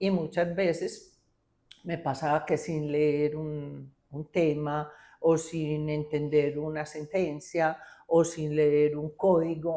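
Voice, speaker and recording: On a very clean recording with a silent background, a woman speaks very slowly at a very deep, low pitch, her tone dark and mellow and her intonation monotone and flat. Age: 60s. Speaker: engineer, lawyer and business executive. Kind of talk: interview.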